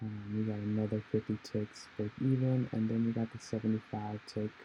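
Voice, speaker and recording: Music plays in the background as a man speaks at a moderate pace. His fairly low voice has monotone, flat intonation. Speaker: day trader. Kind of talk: trading recap voiceover.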